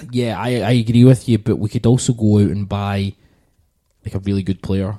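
A man speaks with a fairly low pitch and a dark, mellow tone. His intonation is fairly even, and he takes long, frequent pauses. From Scotland, Glasgow. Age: 30s. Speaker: podcast host. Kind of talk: casual chat.

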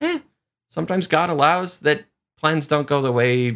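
A man with a plain, everyday voice speaks at a fairly quick pace with lively intonation. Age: 40s. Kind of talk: devotional reflection. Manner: conversational.

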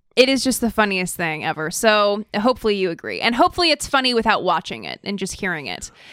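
Speaking very fast with hardly any pauses, a woman uses a medium pitch and vocal fry. Her loudness swings a lot. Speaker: podcast co-host. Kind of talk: casual political chat. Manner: laughs often.

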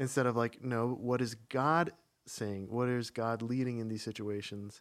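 In an American accent, a man with an unremarkable speaking voice and medium pitch talks at a moderate pace with fairly even intonation, on a very clean recording with a silent background. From US Midwest, small-town Minnesota. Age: 30s. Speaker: church member. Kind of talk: personal testimony.

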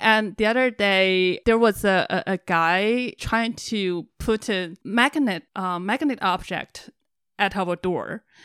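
In a Chinese accent, a woman speaks at a very slow pace and medium pitch. The recording is very clean with a silent background and a dry, close sound with no echo. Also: ordinary pitch variation. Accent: Mandarin Chinese accent in English. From China. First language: Mandarin Chinese. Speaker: compound resident. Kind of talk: casual chat.

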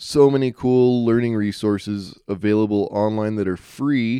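An unremarkable speaking voice from a man with an American accent, medium in pitch, fairly slow in pace, with fairly even intonation. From Utah. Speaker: podcast host. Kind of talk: solo monologue. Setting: cabin. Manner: casual, filler-heavy.

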